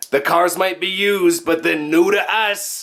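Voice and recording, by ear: A man puts on a raspy, high-pitched character voice with an Italian accent as part of the act. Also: moderate pace.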